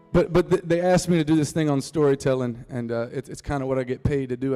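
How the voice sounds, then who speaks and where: Delivered at a very fast pace in a North Carolina accent, the voice has a dark, mellow tone. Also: man. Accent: rural North Carolina Southern. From US South, North Carolina Piedmont (Reidsville). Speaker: singer-songwriter. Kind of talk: storytelling talk to a live audience. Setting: stage with audience. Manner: casual, joking.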